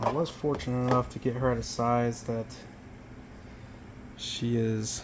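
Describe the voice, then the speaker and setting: There is audible room echo and noticeable background noise. A man talks at a medium pitch. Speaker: tarantula keeper. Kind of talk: casual vlog narration. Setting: at home. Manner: halting.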